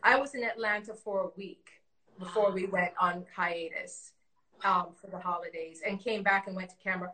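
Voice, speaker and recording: The voice has a bright, sharp tone, moving at a moderate pace with big swings in loudness and a fairly even intonation. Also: woman, medium pitch for a woman. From Jamaica, Westmoreland. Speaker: costume designer. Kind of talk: casual interview chat.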